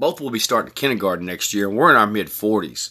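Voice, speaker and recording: A man's fairly low voice, bright and sharp in tone, with ordinary pitch variation. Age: 40s. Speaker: podcast host. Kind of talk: personal monologue. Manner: casual, conversational.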